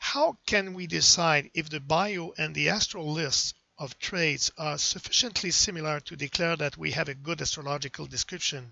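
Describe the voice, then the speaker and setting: With a French accent, a man speaks at a moderate pace in a fairly high pitch, his intonation fairly even. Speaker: astrology software developer. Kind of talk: lecture.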